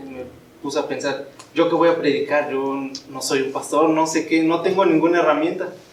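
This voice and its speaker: With noticeable background noise and audible room echo, a man speaks at a moderate pace in a fairly high pitch and a monotone, flat intonation. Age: 20s. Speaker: young church member giving a youth message. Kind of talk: sermon. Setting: church.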